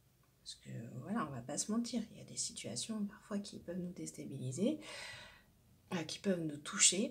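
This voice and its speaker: A man's high-pitched voice at a moderate pace, with very wide pitch swings, big swings in loudness and long, frequent pauses. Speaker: tarot card reader. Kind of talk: spiritual card-reading guidance. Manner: many hesitations and fillers.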